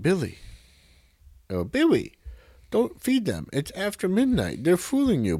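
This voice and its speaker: A man puts on a squeaky, high-pitched character voice at a moderate pace, with long, frequent pauses. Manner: warning, pleading.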